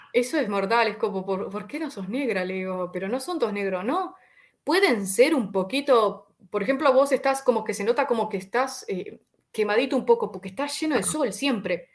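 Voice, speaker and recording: Speaking at a moderate pace in a Uruguayan accent, a woman uses a fairly high pitch and lively intonation. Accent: Rioplatense Spanish (Uruguayan). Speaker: YouTuber. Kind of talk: casual interview. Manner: animated.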